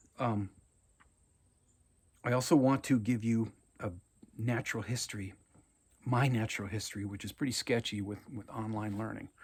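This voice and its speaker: A man with an American accent, medium in pitch and somewhat breathy, speaks at a moderate pace with fairly even intonation and long, frequent pauses. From Minnesota, Anoka. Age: 60s. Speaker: college English teacher. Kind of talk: recorded video lecture to students. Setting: at home on his farm. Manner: casual, talkative with many fillers.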